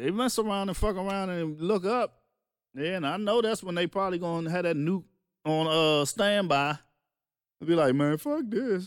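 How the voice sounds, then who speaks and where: A man speaks in a high register with ordinary pitch variation. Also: moderate pace. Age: 40s. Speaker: podcast host and music producer. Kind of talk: casual chat. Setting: home studio. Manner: animated.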